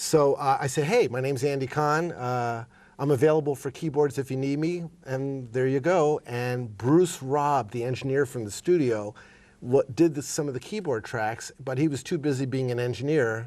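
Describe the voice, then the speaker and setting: Against a quiet background, a man with an ordinary speaking voice and fairly high pitch talks at a moderate pace with ordinary pitch variation. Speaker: session keyboardist. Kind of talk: interview.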